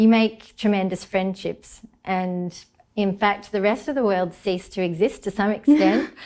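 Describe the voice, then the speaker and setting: With an Australian accent, a woman speaks at a moderate pace and a medium pitch, with ordinary pitch variation. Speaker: marine ecologist. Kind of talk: interview.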